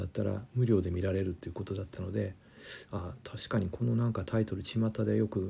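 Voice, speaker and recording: This man has a fairly low, somewhat breathy voice with a dark, mellow tone. He talks at a fairly quick pace over a silent background in a very clean recording. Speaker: German language lecturer. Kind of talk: casual educational talk.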